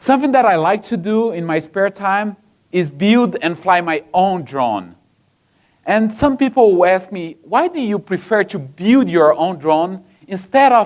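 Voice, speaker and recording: A man with a Brazilian accent speaks fairly slowly in a high voice with lively intonation. The recording is very clean, the background silent. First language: Portuguese. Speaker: software engineer, conference speaker. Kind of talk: conference talk. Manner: halting, many fillers.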